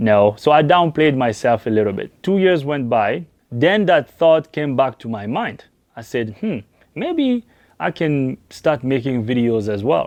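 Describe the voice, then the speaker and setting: With a French accent, a man talks at a fairly slow pace in a medium pitch, his intonation lively. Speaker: auto mechanic. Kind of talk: personal vlog talk to camera.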